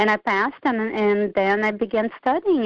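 A woman with a Portuguese accent speaks at a moderate pace, her pitch fairly high. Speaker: author, former military public affairs civilian. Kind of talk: casual interview.

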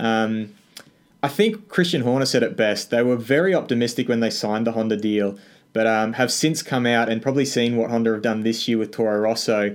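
A man with an Australian accent speaks at a medium pitch with fairly even intonation, on a very clean recording with a silent background. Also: fairly quick pace. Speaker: F1 news YouTuber. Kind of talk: casual interview chat.

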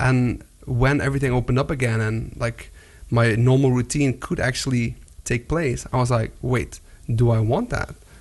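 A man with an unremarkable speaking voice, medium pitch, moderate pace and fairly even intonation. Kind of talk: casual interview. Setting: studio.

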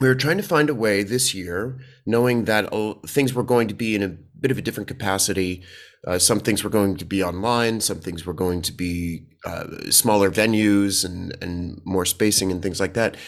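A man with an American accent has a plain, everyday voice and a fairly low pitch. He talks at a moderate pace with ordinary pitch variation. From US, Washington DC. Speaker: theatre actor and performer. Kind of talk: interview.

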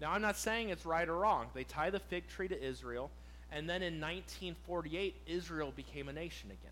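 The speech moves at a moderate pace. Audible room echo is present. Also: man. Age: 30s. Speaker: pastor. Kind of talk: sermon. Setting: church. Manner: animated.

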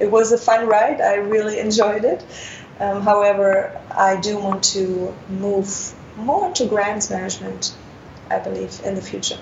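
Over noticeable background noise, a woman with a German accent speaks at a fairly slow pace. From Germany. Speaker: international development worker. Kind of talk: interview. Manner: frequent filler words, hesitant.

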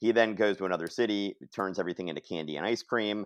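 A man speaks in a fairly low pitch with ordinary pitch variation against a quiet background. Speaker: podcast co-host discussing comics. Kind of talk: casual chat.

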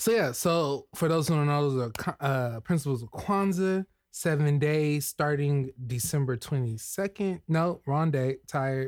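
This is an ordinary speaking voice from a man with a fairly high pitch and ordinary pitch variation. He talks at a fairly slow pace with hardly any pauses. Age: 30s. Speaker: podcast co-host. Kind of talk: casual chat.

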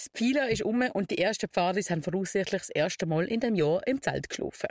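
A woman with an unremarkable speaking voice talks at medium pitch and a fairly quick pace with lively intonation, in a very clean recording with a silent background and a dry, close sound with no echo. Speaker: scout radio show host. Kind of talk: scripted segment presentation. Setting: outdoor broadcast bus in city square.

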